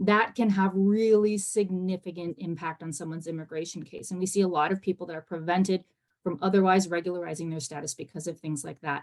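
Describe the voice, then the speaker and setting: A woman talks at a very fast pace with hardly any pauses. Her fairly low voice keeps a fairly even intonation while its loudness swings widely. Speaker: immigration policy panelist. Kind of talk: webinar panel talk.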